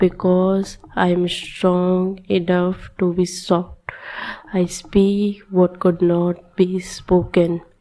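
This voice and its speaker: A woman's monotone, flat delivery at a very slow pace and very even loudness, over noticeable background noise. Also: medium pitch for a woman. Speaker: meditation guide. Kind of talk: guided meditation. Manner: whispered.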